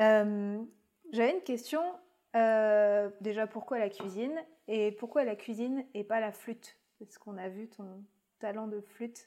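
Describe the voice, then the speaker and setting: A woman with a dark, mellow tone speaks at fairly high pitch and a fairly slow pace. Her intonation stays fairly even, with big swings in loudness and long, frequent pauses. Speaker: podcast host interviewer. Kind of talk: casual interview chat.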